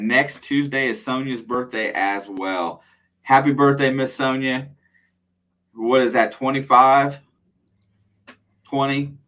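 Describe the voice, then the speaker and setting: Loud and very slow, a man talks in a bright, sharp tone with ordinary pitch variation. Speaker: metal detecting channel host. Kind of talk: live stream Q&A chat. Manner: casual, conversational.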